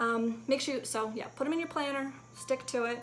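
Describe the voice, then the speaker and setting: A woman speaks at a very fast pace with fairly even intonation. Audible room echo and noticeable background noise surround her voice. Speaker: fitness vlogger. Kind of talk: casual vlog tips. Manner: casual, filler-heavy.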